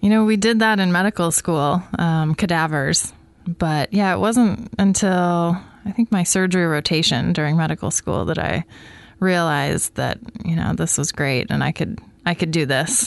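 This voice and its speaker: A woman with an American accent and a fairly low pitch talks at a moderate pace with ordinary pitch variation. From US Pacific Northwest (Coquille, Oregon). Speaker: general surgeon. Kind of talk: health interview.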